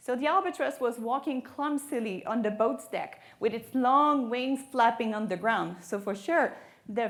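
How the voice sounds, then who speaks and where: A woman speaks with a French Canadian accent and lively intonation. She leaves hardly any pauses. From Quebec, Canada. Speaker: marine biologist. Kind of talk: lecture.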